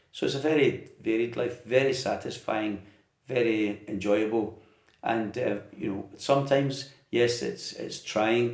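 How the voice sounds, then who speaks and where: A man with a west of Scotland accent speaks at a moderate pace with fairly even intonation. Audible echo fills the room. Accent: Scottish, west of Scotland. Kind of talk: interview. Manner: hesitant.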